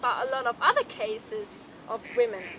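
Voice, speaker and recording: A high-pitched woman with a German accent, noticeable background noise in the recording. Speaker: health vlogger. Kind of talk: casual talk to camera.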